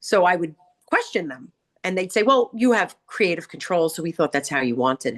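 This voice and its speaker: Her pitch sits fairly low for a woman, swinging very widely as she talks at a fairly quick pace with a Long Island accent. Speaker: hairdresser and salon owner, author. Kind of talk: casual chat. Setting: studio.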